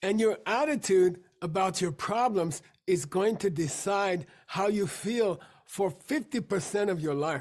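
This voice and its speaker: A very clean recording sits on a silent background. The talking goes at a fairly slow pace. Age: 60s. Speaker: meditation teacher. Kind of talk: lecture.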